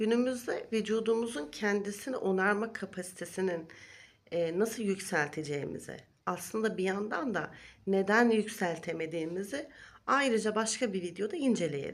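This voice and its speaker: At a moderate pace, a woman talks in a normal speaking voice with a medium pitch and ordinary pitch variation. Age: 40s. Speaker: wellness vlogger. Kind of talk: vlog monologue. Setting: recorded video.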